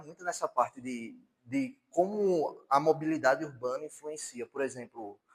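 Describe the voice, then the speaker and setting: A plain, everyday voice from a man, fairly high in pitch, with ordinary pitch variation and a moderate pace. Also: hardly any pauses, big swings in loudness. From Paraíba, Brazil (João Pessoa). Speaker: university lecturer. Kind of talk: lecture.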